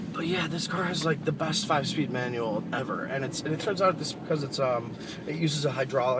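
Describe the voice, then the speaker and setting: Fairly quick pace amid noticeable background noise and audible room echo. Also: man. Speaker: car reviewer. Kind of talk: casual vlog while driving. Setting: in a car. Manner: hesitant, many fillers.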